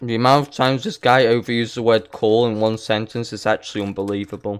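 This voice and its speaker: A man with a non-native accent speaks at a very fast pace and medium pitch, his intonation monotone and flat. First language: not English. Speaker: gaming YouTuber. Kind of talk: reaction commentary. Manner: sarcastic, mocking.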